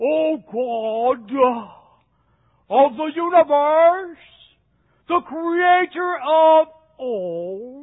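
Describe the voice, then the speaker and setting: A put-on character voice, pompous and solemn in tone, high-pitched and very slow, with long, frequent pauses. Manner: pompous, solemn prayer.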